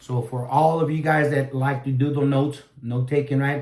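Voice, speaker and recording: At a moderate pace, the speech is monotone and flat, with noticeable background noise. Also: man. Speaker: Bible reviewer. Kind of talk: product review. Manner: halting, many fillers.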